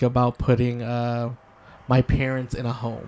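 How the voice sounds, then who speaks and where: Fairly slow, medium-pitched speech from a man with an American accent, over noticeable background noise. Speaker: podcast host. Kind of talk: casual chat.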